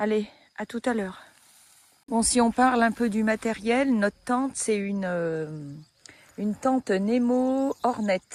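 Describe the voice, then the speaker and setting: A woman with a fairly high voice and ordinary pitch variation is recorded with a dry, close sound and no echo. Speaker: hiking vlogger. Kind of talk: casual vlog narration. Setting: outdoors. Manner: soft-spoken.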